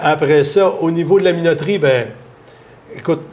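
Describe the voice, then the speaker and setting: A man with a Quebec accent speaks at a moderate pace with ordinary pitch variation over noticeable background noise. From Quebec, Lanaudière. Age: 60s. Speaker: farmer. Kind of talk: interview. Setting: bar. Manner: halting.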